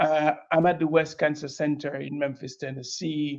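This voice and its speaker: The speaker has a slight Caribbean accent. The delivery is at a moderate pace with monotone, flat intonation. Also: man. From Dominica, Caribbean. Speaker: breast oncologist. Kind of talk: panel interview.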